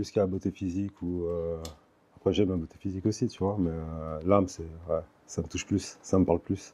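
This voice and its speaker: Soft-spoken and dark, mellow in tone, a man talks at a fairly quick pace with a very deep, low pitch and monotone, flat intonation. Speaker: interview guest, author of a memoir. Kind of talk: interview. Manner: hesitant, many fillers.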